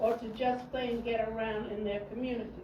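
A woman talks at a moderate pace with a high pitch and monotone, flat intonation. Noticeable background noise and audible room echo are present. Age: 80s+. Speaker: resident speaking at public comment. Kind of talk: public comment at council meeting. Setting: city council meeting. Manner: formal.

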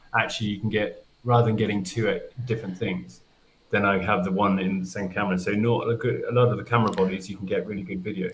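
Speaking at a very fast pace, a man with a southern English accent has a fairly low, somewhat breathy voice and fairly even intonation. Light background noise can be heard. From England. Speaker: nature photographer; guest. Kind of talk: casual chat. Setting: video call. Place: home room.

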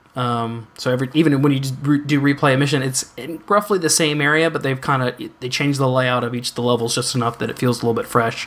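A man at a very fast pace with fairly even intonation. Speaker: gaming podcast host. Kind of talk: casual chat. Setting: live streamed show. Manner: somber when multitasking. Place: home room.

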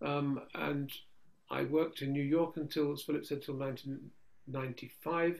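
A man with an English accent speaks at a fairly slow pace in a fairly high pitch, his intonation monotone and flat. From England. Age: 70s. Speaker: Orthodox priest. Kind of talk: conversational Q&A with prayers. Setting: video call.

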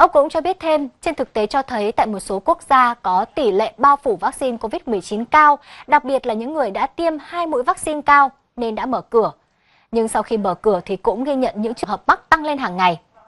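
The woman's high-pitched voice, with lively intonation and a fairly quick pace, comes through dry and close with no echo over a quiet background. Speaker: news reader. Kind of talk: news reading. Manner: formal.

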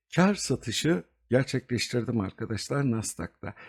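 A man speaks with very wide pitch swings and a somewhat breathy tone. The sound is dry and close, with no echo. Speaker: investment video host. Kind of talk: market analysis tutorial. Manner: hesitant fillers.

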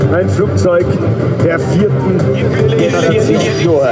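A man talks at a very slow pace while music plays in the background. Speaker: airshow announcer. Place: open country.

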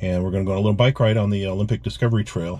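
Somewhat breathy and dark and mellow in tone, a man's fairly low voice rushes at a very fast pace with ordinary pitch variation. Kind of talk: casual vlog chat. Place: plane. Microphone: headset.

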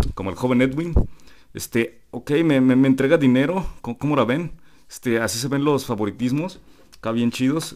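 At a fairly slow pace, a man with a Mexican accent talks over light background noise. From Mexico. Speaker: gaming youtuber. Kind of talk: casual vlog. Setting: convention hall. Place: home room.

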